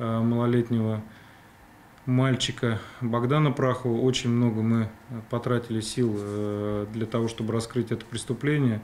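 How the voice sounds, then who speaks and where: A man talks in a monotone, flat intonation while light background noise plays. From Russia. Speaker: police criminal investigation chief. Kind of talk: TV interview. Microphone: studio mic.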